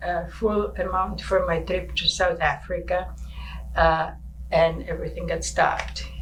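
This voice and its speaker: A woman's voice at a very slow pace, with audible room echo and noticeable background noise. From Czechoslovakia, Prague. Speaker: local senior sharing life story. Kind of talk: personal life story interview. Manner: halting.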